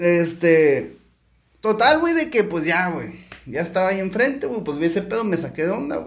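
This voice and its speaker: Audible room echo surrounds a man speaking at a moderate pace, his high pitch carrying lively intonation. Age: 40s. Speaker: entrepreneur, restaurant owner. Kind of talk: casual chat.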